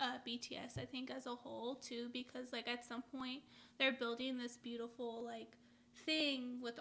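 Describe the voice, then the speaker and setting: The tone is bright and sharp, the intonation monotone and flat, and the pace fairly slow. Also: woman. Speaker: reaction video host. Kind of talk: casual group discussion. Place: home room. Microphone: camera far.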